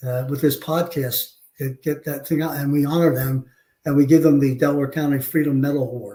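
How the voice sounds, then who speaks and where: In an American accent, a man speaks at a fairly quick pace with a fairly high pitch and monotone, flat intonation. His tone is dark and mellow, and somewhat breathy. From Philadelphia, US. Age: 70s. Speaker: war veteran and police chief. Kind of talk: interview storytelling. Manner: halting, many fillers.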